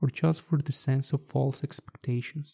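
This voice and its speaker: A man with a Mexican accent speaks in a dark, mellow, somewhat breathy tone at a moderate pace. His intonation stays fairly even, and the sound is dry and close with no echo. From Mexico. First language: Spanish. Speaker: architect and podcast host. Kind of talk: podcast monologue.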